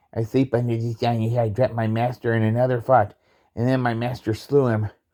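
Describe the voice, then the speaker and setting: A man uses a put-on character voice at a medium pitch, with monotone, flat intonation. He moves at a fairly quick pace on a very clean recording with a silent background. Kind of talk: Shakespearean stage reading. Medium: stage play. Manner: plain, hesitant reading.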